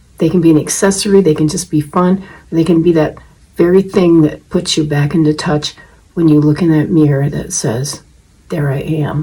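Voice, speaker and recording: A dark, mellow tone carries a somewhat breathy quality. Intonation stays fairly even at a moderate pace. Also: woman. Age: 70s. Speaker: wig-wearing video blogger. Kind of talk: tutorial. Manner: casual, conversational with fillers.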